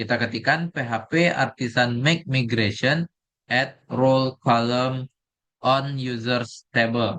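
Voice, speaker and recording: Medium in pitch, a man speaks at a very slow pace with fairly even intonation. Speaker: programming tutor. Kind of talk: screen-recorded coding tutorial. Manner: halting with fillers; soft-spoken.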